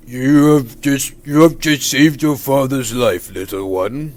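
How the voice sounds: At a fairly slow pace, a man performs a put-on character voice at a medium pitch.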